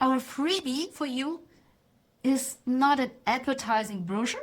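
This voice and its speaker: A woman with a non-native accent speaks at a fairly slow pace in a high pitch, with ordinary pitch variation. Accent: non-native English speaker. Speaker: AI consultant giving a talk. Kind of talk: presentation talk. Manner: halting at tricky words.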